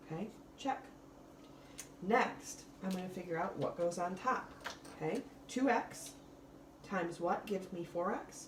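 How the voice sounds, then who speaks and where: Noticeable background noise and audible room echo accompany a woman speaking at medium pitch with ordinary pitch variation. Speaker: math teacher. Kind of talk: recorded lesson tutorial.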